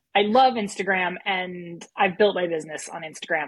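A woman speaks in a plain, everyday voice with an American accent, her medium pitch moving with ordinary variation. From United States. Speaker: small business owner and business coach. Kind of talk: casual interview. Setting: remote call from Germany.

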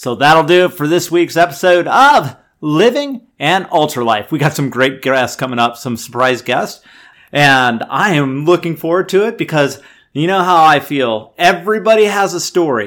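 Over a silent background on a very clean recording, a man with a plain, everyday voice speaks at a fairly high pitch and a moderate pace, his intonation lively. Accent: American. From US. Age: 50s. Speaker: podcast host and amateur ultrarunner. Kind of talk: solo podcast monologue.

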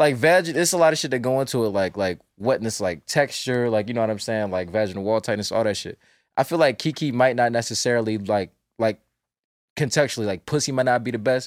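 In a normal speaking voice, a man with an American accent and medium pitch talks at a fairly quick pace with ordinary pitch variation, in a very clean recording with a silent background. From US South, North Carolina. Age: 20s. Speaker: cartoonist. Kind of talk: casual chat.

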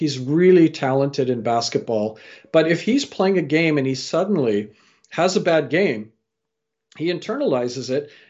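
A man with a Canadian accent and a plain, everyday voice speaks at a moderate pace, his fairly high pitch carrying lively intonation. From Canada. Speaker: storyteller and career coach. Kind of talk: interview.

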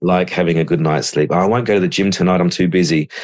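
This man has a very deep, low pitch and talks at a very fast pace. His intonation stays fairly even. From Melbourne, Australia. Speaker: high performance coach and author. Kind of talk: interview conversation.

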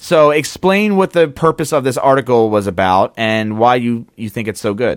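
Lively intonation marks this man's medium-pitched voice at a moderate pace. The very clean recording has a silent background and a dry, close sound with no echo. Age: 30s. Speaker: podcast co-host. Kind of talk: casual chat. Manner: animated.

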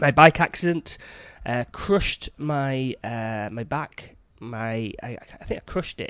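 A man with a northern English accent at a medium pitch, very slow, with lively intonation and big swings in loudness, in a dry, close sound with no echo. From northern England, Yorkshire/Lancashire border. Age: 40s. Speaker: podcast host, chef. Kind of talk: casual monologue. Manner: halting.

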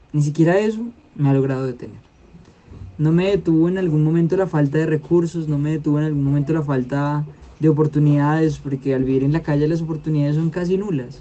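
Speaking at a fairly quick pace, a man with a fairly high pitch has a dark, mellow tone and fairly even intonation. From Colombia, Meta (Llanos Orientales). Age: 20s. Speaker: peace activist. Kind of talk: interview testimony.

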